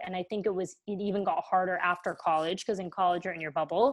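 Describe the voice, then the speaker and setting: Against a quiet background, a woman with a plain, everyday voice talks at a fairly quick pace. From US. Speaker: content creator and photographer. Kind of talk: casual interview chat.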